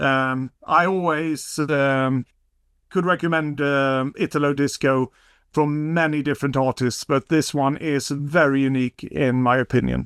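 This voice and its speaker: A man with a Swedish accent and fairly high pitch, at very even loudness, in a dry, close, very clean recording with no echo and a silent background. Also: fairly slow pace. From Sweden. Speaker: vinyl collector. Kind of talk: casual chat.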